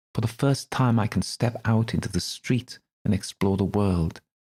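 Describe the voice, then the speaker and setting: A man speaks at a moderate pace in a put-on character voice, sing-song and medium in pitch. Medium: read story. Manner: eerily cheerful.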